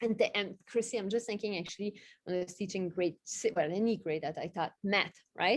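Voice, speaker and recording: A woman with a non-native accent at a fairly quick pace. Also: medium pitch for a woman, ordinary pitch variation. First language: not English. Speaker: literacy specialist, former teacher. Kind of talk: panel discussion.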